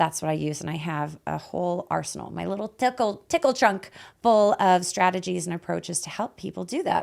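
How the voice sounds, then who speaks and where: A woman speaks in a fairly low pitch, with vocal fry, an animated tone and ordinary pitch variation. The recording is very clean and the background silent. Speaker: life coach podcast host. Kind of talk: casual chat. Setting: studio.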